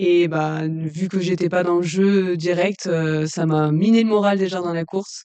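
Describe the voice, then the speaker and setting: A woman's fairly low-pitched, monotone voice with flat intonation and hardly any pauses. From southern France, Lozère. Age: 20s. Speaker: trail runner. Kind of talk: casual interview. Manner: hesitant, many fillers.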